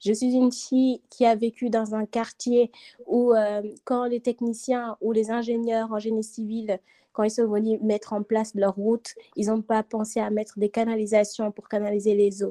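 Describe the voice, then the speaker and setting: With a dark, mellow tone, a woman speaks in a fairly high voice. Her intonation is monotone and flat, and her pace is fairly slow. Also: dry, close sound with no echo. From Senegal. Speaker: student. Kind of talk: casual chat.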